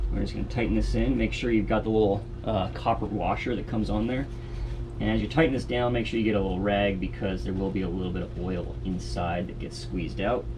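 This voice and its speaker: A man's fairly quick delivery carries audible room echo, with noticeable background noise behind it. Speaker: outdoors video creator. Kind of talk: tutorial. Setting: outdoors.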